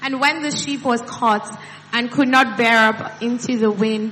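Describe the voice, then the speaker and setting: A woman with a fairly high voice speaks at a fairly slow pace, her intonation fairly even. Noticeable background noise runs underneath. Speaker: scripture reader. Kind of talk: reading aloud. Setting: church.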